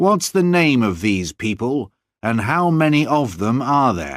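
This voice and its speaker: In a very clean recording with a silent background, a man uses a put-on character voice at a medium pitch with very wide pitch swings. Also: fairly slow pace. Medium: read story. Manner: domineering, intimidating.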